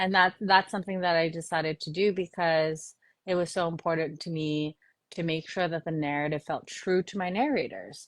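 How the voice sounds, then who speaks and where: At a moderate pace, a woman with an American accent speaks at a fairly low pitch with fairly even intonation. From US, New York. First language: Korean. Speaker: novelist. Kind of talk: interview. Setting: live stream.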